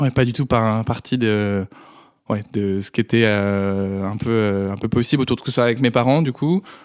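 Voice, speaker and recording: Fairly even intonation on a very clean recording with a silent background. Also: man. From France, Dreux area. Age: 20s. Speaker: podcast guest. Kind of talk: testimony. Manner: halting, many hesitations.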